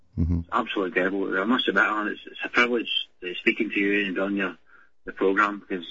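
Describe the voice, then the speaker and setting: A man in a Glaswegian accent talks at a very fast pace. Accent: Glaswegian Scottish. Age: 20s. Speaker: caller. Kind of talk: phone-in call. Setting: phone call. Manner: halting.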